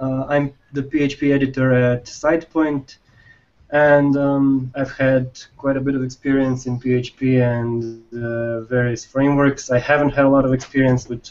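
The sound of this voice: The man's voice sits at a medium pitch with a slightly mellow tone. There is little pitch movement.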